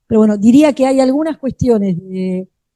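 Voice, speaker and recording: A woman's dark, mellow voice comes through with a dry, close sound and no echo. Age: 60s. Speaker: education researcher, panelist. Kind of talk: panel discussion. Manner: hesitant, many fillers.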